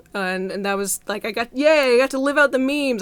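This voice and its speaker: Noticeable background noise fills the recording. Over it, a woman talks in an animated tone. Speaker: YouTuber. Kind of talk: casual vlog update.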